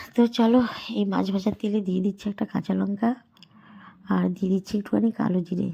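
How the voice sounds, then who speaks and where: Her somewhat breathy voice has a dark, mellow tone, medium pitch, and fairly even intonation. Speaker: cooking vlogger. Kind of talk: cooking tutorial. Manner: casual, chatty.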